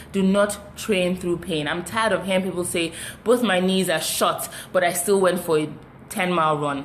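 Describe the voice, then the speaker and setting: A woman talks with ordinary pitch variation over noticeable background noise, and audible room echo can be heard. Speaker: fitness live streamer. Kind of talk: live stream chat with viewers. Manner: fast.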